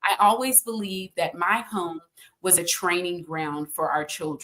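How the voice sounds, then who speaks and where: A woman with an American accent has a normal speaking voice and a fairly low pitch. She talks at a fairly slow pace with ordinary pitch variation. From Texas (Austin). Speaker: consultant and author. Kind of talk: podcast interview.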